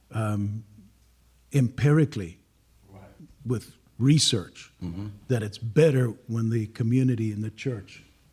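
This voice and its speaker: Very slowly, a man speaks at a medium pitch with fairly even intonation. His tone is dark and mellow and somewhat breathy. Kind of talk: professional, speaking about research.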